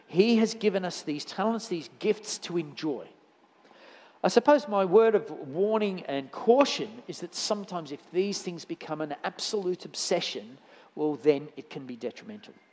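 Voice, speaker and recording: A man with an Australian accent talks at a moderate pace in a high pitch. His intonation is lively and his loudness swings widely. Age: 60s. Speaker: church elder preaching. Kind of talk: sermon. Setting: church with congregation. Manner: halting, many fillers and repeats.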